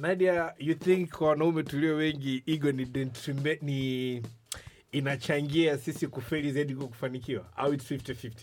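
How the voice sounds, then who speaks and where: Speaking with an East African accent, a man uses fairly high pitch and fairly even intonation. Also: moderate pace. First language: Swahili. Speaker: podcast host. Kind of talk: casual chat.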